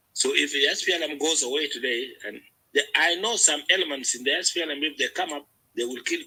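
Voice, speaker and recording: A man's voice is fairly high, bright and sharp in tone, with ordinary pitch variation. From South Sudan. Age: 60s. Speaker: political discussion participant. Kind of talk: panel discussion. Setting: online audio room. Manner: halting, many repetitions.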